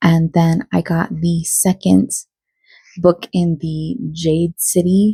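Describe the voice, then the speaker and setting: A woman's voice is dark, mellow and somewhat breathy, with a fairly low pitch. She speaks very slowly. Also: dry, close sound with no echo. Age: 30s. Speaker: book vlogger. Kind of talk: casual vlog talk. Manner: casual, with fillers.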